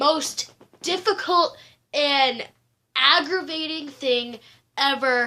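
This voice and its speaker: A woman speaks very slowly in a raised, projected voice with a bright, sharp tone. Her pitch is high, with ordinary variation. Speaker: vlogger. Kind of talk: casual vlog. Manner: casual, filler-heavy.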